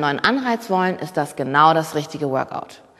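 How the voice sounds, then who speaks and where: A woman's tone is animated, her pitch swinging very widely, while noticeable background noise plays behind her. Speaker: fitness instructor. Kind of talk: guided workout instruction. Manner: brisk, rhythmic cueing.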